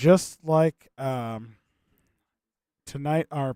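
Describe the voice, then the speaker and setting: A man speaks quietly and very slowly at a fairly high pitch. The sound is dry and close, without any echo. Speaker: game show host on livestream. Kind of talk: casual livestream hosting.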